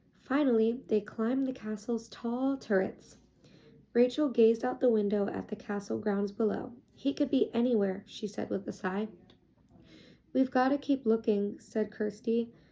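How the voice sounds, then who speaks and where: Soft-spoken and fairly high-pitched, a woman talks at a moderate pace in a dark, mellow tone with fairly even intonation. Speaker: ASMR creator. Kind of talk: children's book reading.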